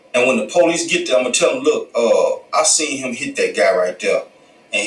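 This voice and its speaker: A man speaks over noticeable background noise. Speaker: podcast commentator. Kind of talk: casual commentary monologue.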